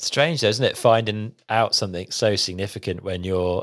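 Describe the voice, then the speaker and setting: Recorded very cleanly with a silent background, a man with a British accent speaks at a fairly low pitch and a fairly quick pace with ordinary pitch variation. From UK. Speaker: podcast host. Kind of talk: interview.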